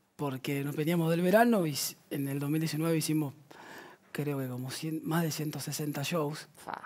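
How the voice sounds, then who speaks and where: A man with an unremarkable speaking voice, fairly high pitch, fairly even intonation and a fairly slow pace. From La Plata, Argentina; Argentina. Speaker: band musician; guest. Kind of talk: casual chat. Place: studio. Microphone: headset.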